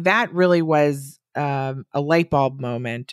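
A woman with an American accent speaks in a very deep, low pitch with ordinary pitch variation. The recording is very clean with a silent background and a dry, close sound with no echo. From US Midwest, Wisconsin. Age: 40s. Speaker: body acceptance coach. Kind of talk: casual interview.

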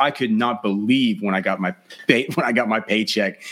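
A plain, everyday voice from a man with an American accent, medium in pitch, fairly quick in pace and lively in intonation, on a very clean recording with a silent background. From Texas. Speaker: fantasy football podcast host. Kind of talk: casual interview chat.

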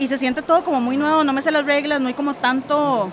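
A woman's high-pitched voice with noticeable background noise. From Costa Rica. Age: 30s. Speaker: poet and former journalist. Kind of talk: interview. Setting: book fair.

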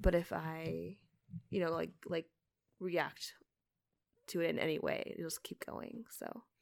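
Long pauses interrupt the speech frequently. Its pace is fairly slow. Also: woman. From Canada. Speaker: podcast host's wife. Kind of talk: casual chat.

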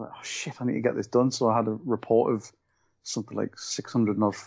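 Vocal fry runs through a man's speech as he talks fairly quickly with a Scottish accent and fairly even intonation. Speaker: co-host. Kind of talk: casual chat. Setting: working from home.

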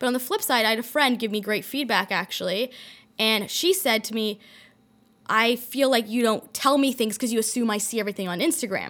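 On a very clean recording with a silent background, a woman with a Canadian accent talks at a fairly quick pace. She has a fairly high pitch, ordinary pitch variation and an ordinary speaking voice. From Toronto, Canada.

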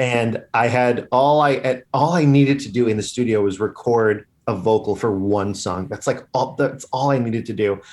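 Here is a man with a normal speaking voice and an American accent, talking at a moderate pace and medium pitch with hardly any pauses. His pitch varies ordinarily, and the recording is very clean with a silent background. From Long Island, New York. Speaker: comedian and musician. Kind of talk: casual chat.

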